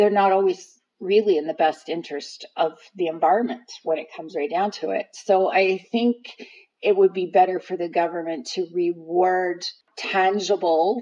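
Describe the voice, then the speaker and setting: Delivery moves at a medium tempo. Its intonation stays fairly level. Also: woman, medium pitch for a woman. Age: 50s. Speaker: host's mother, interviewee. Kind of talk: casual interview. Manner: hesitant, many fillers and repeats.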